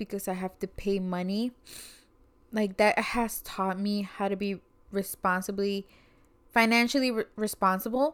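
An ordinary speaking voice from a woman with an American accent, medium pitch, ordinary pitch variation and a fairly slow pace. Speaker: podcast co-host. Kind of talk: casual chat.

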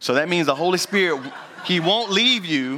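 Speaking at a moderate pace, a man with a Southern US accent uses lively intonation and an animated, bright, sharp tone. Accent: Southern American. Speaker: pastor. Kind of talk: sermon. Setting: church.

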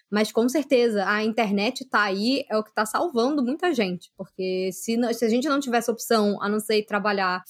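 A woman speaks at a moderate pace in a plain, everyday voice, her pitch fairly high with ordinary variation. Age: 30s. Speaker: youtuber and journalist. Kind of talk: casual chat.

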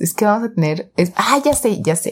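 A woman speaks with a Mexican accent at a moderate pace. Her pitch is fairly high and her intonation lively. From Mexico, Jalisco (Guadalajara area). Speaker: podcast co-host. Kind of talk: casual chat.

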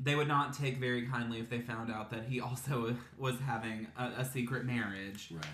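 A man with an American accent and fairly even intonation, hardly any pauses, audible room echo and noticeable background noise. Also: medium pitch for a man, moderate pace. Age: 20s. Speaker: podcast host. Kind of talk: casual chat.

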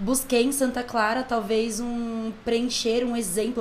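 Audible room echo surrounds this clip. A woman is the one talking. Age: 20s. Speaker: church music and dance minister. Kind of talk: casual chat.

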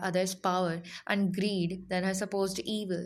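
In a dramatic tone, a woman speaks at a moderate pace on a very clean recording with a silent background. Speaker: podcast narrator. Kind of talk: true-crime narration, scripted storytelling read aloud. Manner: dramatic, measured, storyteller tone with ominous emphasis; formal, steady delivery.

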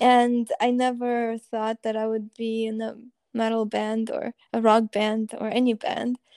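A woman with a Russian accent speaks at a fairly slow pace and a fairly high pitch, in a dry, close sound with no echo. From Russia (Moscow), moved to US at 11. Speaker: band musician and pianist. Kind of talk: interview.

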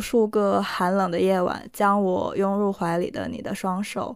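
A woman speaks in a Korean accent at a medium pitch and a fairly slow pace. Her intonation is fairly even, and the recording is very clean with a silent background. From Northeast China. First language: Korean (speaking Chinese). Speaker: podcast co-host. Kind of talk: casual chat; scripted narration.

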